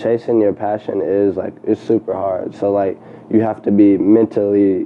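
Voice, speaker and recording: A man's fairly low voice, flat and monotone, over noticeable background noise. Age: 20s. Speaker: entrepreneur, clothing designer and photographer. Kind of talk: casual interview chat.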